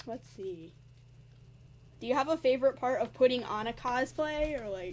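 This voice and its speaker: With an American accent, a woman speaks at a high pitch and a moderate pace, her intonation lively. Her loudness swings widely, and her pauses are long and frequent. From New York / New Jersey area. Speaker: cosplay interviewer. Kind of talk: casual interview.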